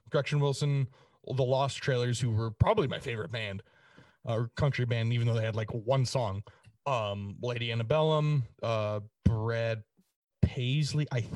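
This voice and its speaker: Against a quiet background, a somewhat breathy man of medium pitch speaks fairly slowly with long, frequent pauses and ordinary pitch variation. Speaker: podcast co-host. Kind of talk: casual chat.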